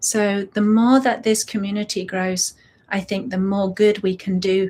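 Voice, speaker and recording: A woman with medium pitch speaks fairly slowly in a warm yet dark, mellow tone that is somewhat breathy. Her intonation is monotone and flat, and the recording is very clean with a silent background. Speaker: breathwork facilitator. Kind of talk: casual chat before a guided breathwork session. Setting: live stream. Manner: warm, unscripted.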